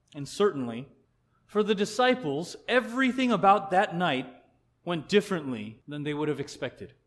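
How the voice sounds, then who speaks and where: In an American accent, a man speaks at a high pitch with very wide pitch swings and a moderate pace. The recording is very clean with a silent background. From Colorado, US. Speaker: pastor. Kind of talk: sermon.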